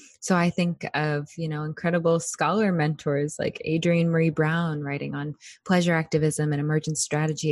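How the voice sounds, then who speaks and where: Woman with a very deep, low pitch and monotone, flat intonation, quiet background. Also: dry, close sound with no echo. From Alaska, Anchorage. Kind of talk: interview.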